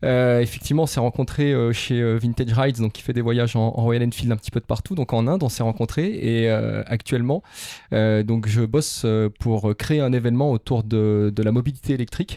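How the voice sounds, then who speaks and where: This man talks at a fairly quick pace in a medium pitch, with a dark, mellow tone and ordinary pitch variation. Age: 40s. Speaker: motorcycle adventurer and event organizer. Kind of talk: casual interview. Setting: outdoors in the countryside. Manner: hesitant, many fillers.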